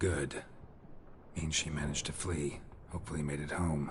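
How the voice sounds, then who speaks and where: A put-on character voice at a moderate pace over clear background noise. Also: man, very deep, low pitch for a man. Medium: video game. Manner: dry, laconic.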